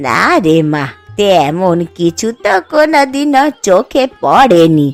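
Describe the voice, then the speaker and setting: A cartoonish character voice moves at a very slow pace with very wide pitch swings, faint music playing in the background. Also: woman, medium pitch for a woman. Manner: affectionate, folksy.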